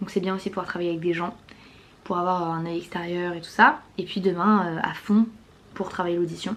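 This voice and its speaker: Over noticeable background noise, a woman talks at a fairly quick pace with fairly even intonation and a medium pitch. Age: 20s. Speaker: vlogger and performer. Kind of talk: vlog.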